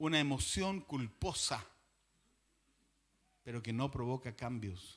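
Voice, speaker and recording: The voice is bright and sharp with vocal fry, moving at a very slow pace. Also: man. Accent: Chilean. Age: 60s. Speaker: pastor. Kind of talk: sermon.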